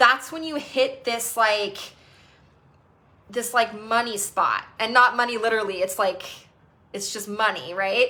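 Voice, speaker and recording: Fairly high-pitched and bright, sharp in tone, a woman speaks fairly slowly with an animated tone, ordinary pitch variation, big swings in loudness and long, frequent pauses. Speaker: EFT tapping coach. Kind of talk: live group session talk.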